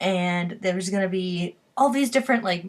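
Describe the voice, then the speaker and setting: At medium pitch, a woman speaks with ordinary pitch variation. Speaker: vlogger. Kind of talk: casual vlog monologue. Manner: hesitant, many fillers; fast, rising pitch when stressed.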